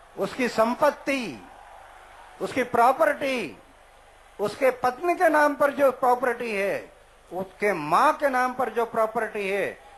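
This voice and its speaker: The pitch varies in an ordinary way, with noticeable background noise throughout. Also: man, extremely high pitch for a man. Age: 70s. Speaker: anti-corruption activist. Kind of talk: public speech to a rally. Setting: outdoors.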